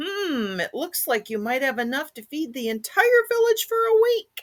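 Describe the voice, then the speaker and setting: A put-on character voice with a high pitch moves at a moderate pace through very wide pitch swings. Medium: read story. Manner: calm, warm.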